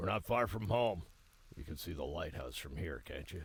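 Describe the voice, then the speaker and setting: A man's put-on character voice, very deep and low, raspy, with very wide pitch swings at a moderate pace. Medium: video game. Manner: warm, calm.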